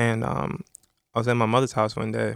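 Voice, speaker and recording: There is an American accent in this man's speech. Behind him the background is silent, and the recording is very clean. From New York. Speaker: music industry executive. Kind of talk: interview. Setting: studio.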